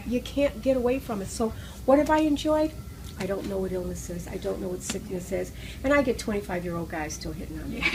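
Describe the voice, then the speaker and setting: A woman talks very fast while noticeable background noise plays behind her. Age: 60s. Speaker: raw food teacher and holistic healer. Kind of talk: interview answer.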